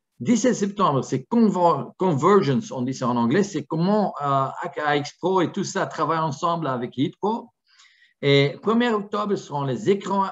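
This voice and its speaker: With a Flemish accent, the speaker talks at a fairly slow pace using lively intonation. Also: man. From Flanders, Antwerp. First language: Dutch (Flemish) (speaking French). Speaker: product presenter for a security camera company. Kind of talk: webinar presentation. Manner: halting, with many fillers.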